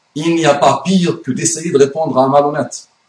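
A man speaks with an Arabic accent. His pitch is fairly high and his pace is moderate. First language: Arabic (speaking French). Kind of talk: video monologue / religious rebuttal.

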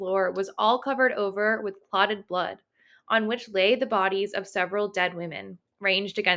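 The background stays quiet as someone reads aloud in a natural voice.

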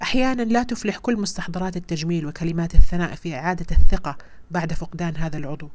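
Here is a woman with a fairly low pitch. She speaks at a moderate pace. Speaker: podcast host sharing breast cancer story. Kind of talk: personal monologue.

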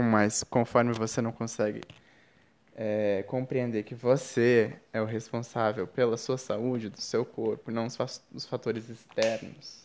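A man's medium-pitched voice, flat and monotone, at a fairly slow pace. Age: 20s. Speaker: podcast host. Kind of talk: reflective spiritual monologue.

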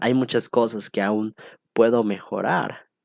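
Here is a man with an unremarkable speaking voice, pitched fairly low and paced fairly slowly. The recording is dry and close with no echo, and the background is quiet. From Mexico (born State of Mexico, raised partly in Cancún and Costa Rica). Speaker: podcast host. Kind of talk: solo casual monologue. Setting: at home.

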